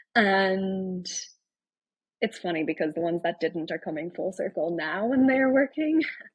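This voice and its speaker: In an Irish accent, a woman at medium pitch speaks at a moderate pace with very wide pitch swings. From Ireland. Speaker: tech founder and writer. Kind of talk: casual chat.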